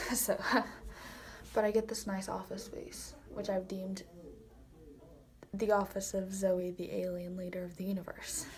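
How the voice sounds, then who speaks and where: A woman talks at a moderate pace with long, frequent pauses, a medium pitch, and monotone, flat intonation. Her dark, mellow tone carries vocal fry, with audible room echo. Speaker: vlogger. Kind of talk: casual vlog. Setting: church.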